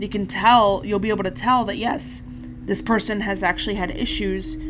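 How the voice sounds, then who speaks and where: The voice has an angry, intense tone at a moderate pace. Noticeable background noise can be heard. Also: woman. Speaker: YouTuber and animator. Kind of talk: commentary video. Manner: sounds angry-ish, intense; stuttering, halting.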